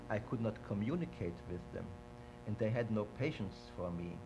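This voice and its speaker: A man's medium-pitched voice with vocal fry, at a moderate pace. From Vienna, Austria. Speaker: Holocaust-era witness interviewee. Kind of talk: oral history interview. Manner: halting, with many repetitions.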